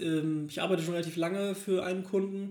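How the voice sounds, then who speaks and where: The speaker is a man with a monotone, flat intonation. He keeps a moderate pace. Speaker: podcast co-host. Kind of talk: casual chat. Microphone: laptop recording.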